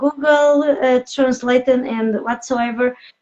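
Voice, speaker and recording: A woman with a non-native accent speaks at a high pitch. Her intonation is fairly even. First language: not English. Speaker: podcast host, business coach. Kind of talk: interview. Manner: halting, many fillers.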